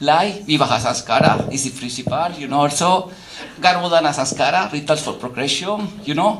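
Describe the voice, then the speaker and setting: Over noticeable background noise and audible room echo, a man speaks in a high pitch with ordinary pitch variation. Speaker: academic lecturer. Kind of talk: lecture. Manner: halting, frequent fillers; animated.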